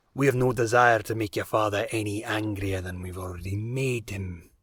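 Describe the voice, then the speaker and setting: A man speaks at a moderate pace in a raspy, fairly low put-on character voice, on a very clean recording with a silent background. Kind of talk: audio drama dialogue.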